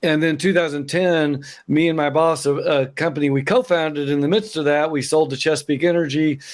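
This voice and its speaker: A man with an Oklahoma accent speaks at a fairly quick pace and fairly high pitch, with hardly any pauses. His intonation is fairly even, his loudness very even, and the recording very clean with a silent background. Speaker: accountant, business founder. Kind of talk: interview, casual chat.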